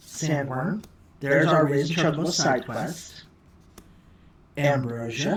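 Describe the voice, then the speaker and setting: A somewhat breathy woman's voice, pitched very deep and low, with ordinary pitch variation. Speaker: card game unboxing youtuber. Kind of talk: casual unboxing commentary. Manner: fast; animated. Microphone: poor audio, OBS mic setup mistake.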